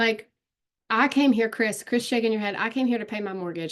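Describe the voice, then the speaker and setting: Against a quiet background, a woman speaks very fast in an animated tone. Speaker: online marketing coach. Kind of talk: live webinar Q&A. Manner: loud.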